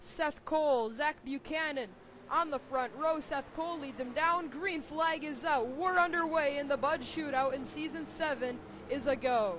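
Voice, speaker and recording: A woman with a high pitch talks at a moderate pace with ordinary pitch variation over noticeable background noise. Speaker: sim racing commentator. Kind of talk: live commentary. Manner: animated.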